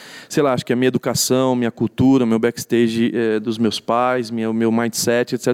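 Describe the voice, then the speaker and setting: The man has an ordinary speaking voice at a medium pitch and a moderate pace. The sound is dry and close, with no echo. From São Paulo, Brazil (east zone). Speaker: pastor. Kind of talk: casual interview.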